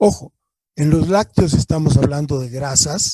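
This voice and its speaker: A man speaks in a fairly high, somewhat breathy voice with a dark, mellow tone and lively intonation. The recording sounds dry and close, without echo. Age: 70s. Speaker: engineer, laboratory manager giving a conference talk. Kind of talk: lecture Q&A. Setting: online conference, streamed to Facebook.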